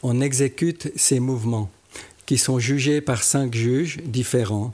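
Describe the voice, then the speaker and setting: A man speaks very slowly at a medium pitch, with ordinary pitch variation. His tone is dark and mellow. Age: 70s. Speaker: karate champion. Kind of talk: interview.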